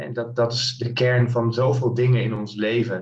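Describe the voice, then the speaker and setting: Here a man speaks at medium pitch and a fairly slow pace. His voice is somewhat breathy, with fairly even intonation. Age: 30s. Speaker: mindset coach. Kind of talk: podcast interview.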